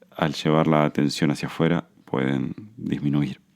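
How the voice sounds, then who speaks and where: At a very slow pace, a man with an Argentine accent speaks in a very deep, low pitch. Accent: Argentine Spanish (Rioplatense). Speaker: podcast host, Buddhism and anxiety teacher. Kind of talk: podcast monologue, self-help talk. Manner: hesitant fillers; slowing down, calmer pace.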